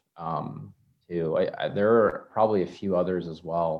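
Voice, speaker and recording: A man speaks in a General American accent. The background is quiet. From Maryland, US East Coast. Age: 20s. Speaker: guest. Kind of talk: casual interview conversation.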